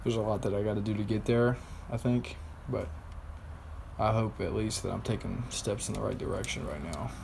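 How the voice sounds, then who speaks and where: Audible room echo surrounds a man with a fairly low pitch and ordinary pitch variation who talks at a fairly quick pace broken by long, frequent pauses. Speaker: vlogger. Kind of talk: personal video diary.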